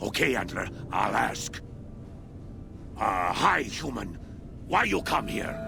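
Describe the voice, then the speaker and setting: A man's put-on character voice at a fairly slow pace, broken by long, frequent pauses, over loud background noise. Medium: video game. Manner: broken grammar, simple; talks to an imagined voice.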